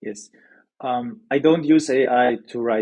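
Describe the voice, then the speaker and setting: A man speaks at a medium pitch and a fairly slow pace, his intonation fairly even. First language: not English. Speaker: newsletter founder, sales expert. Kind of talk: podcast interview. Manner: hesitant, many fillers.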